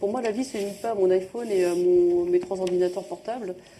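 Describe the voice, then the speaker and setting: A woman's medium-pitched voice, with ordinary pitch variation, moves fairly quickly over noticeable background noise. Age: 40s. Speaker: social entrepreneur. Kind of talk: public talk interview. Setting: live event with audience.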